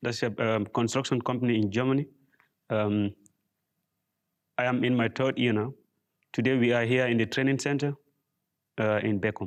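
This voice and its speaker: This man speaks at medium pitch with a West African accent, fairly even intonation, and long, frequent pauses. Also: moderate pace. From Gambia. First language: Mandinka. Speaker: apprentice mason. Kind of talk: tutorial. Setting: training workshop.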